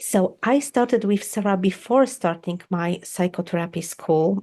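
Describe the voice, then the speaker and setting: Against a quiet background, a woman speaks at a moderate pace in a dark, mellow tone. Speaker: psychotherapist. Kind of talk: testimony. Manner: halting.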